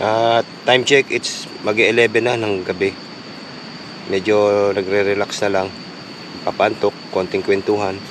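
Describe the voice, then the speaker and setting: A man's monotone, flat voice over noticeable background noise. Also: fairly low pitch for a man, fairly slow pace. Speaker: moto vlogger. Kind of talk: vlog narration. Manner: casual.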